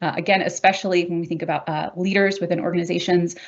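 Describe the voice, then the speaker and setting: Very fast and monotone, a woman talks with flat intonation at a fairly low pitch. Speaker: workplace mental health expert, academic. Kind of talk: webinar presentation.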